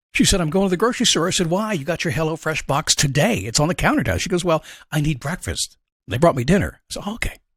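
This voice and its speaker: A man talks at a very fast pace, his pitch fairly high. Vocal fry runs through his voice. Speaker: motivational podcast host. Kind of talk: motivational monologue. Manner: casual, conversational.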